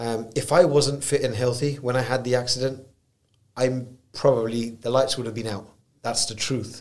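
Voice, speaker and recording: With a British accent, a man speaks in a monotone, flat intonation at a medium pitch and moderate pace, with audible room echo. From UK, Punjabi Indian family. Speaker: entrepreneur. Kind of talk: interview.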